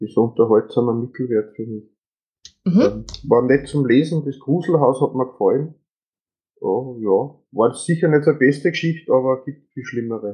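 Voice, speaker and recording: In an Austrian accent, a man speaks fairly slowly and somewhat breathily, with ordinary pitch variation. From Upper Austria. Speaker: podcast guest. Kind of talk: casual chat.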